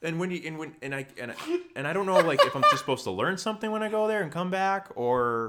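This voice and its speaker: Talking at a fairly quick pace in an American accent, a man uses very wide pitch swings and a bright, sharp tone. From Chicago south suburbs. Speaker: author. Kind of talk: casual chat.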